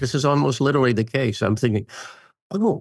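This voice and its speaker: Over a quiet background, a man with an American accent talks at a fairly quick pace, using lively intonation and vocal fry. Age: 80s+. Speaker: Jungian psychoanalyst and author. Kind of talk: podcast interview. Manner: reflective.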